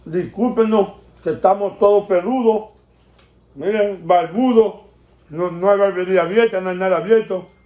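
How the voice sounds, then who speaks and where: Audible room echo surrounds a man with a high pitch and a dark, mellow tone. He speaks at a fairly slow pace with fairly even intonation. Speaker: family channel host. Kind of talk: casual vlog chat. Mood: relaxed, cheerful. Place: home room. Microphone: phone near.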